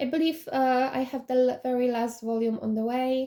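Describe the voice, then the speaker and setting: Speaking at a moderate pace with a Polish accent, a woman has a high pitch, a dark, mellow tone and monotone, flat intonation. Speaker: K-pop collection vlogger. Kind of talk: collection showcase. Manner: halting, many fillers.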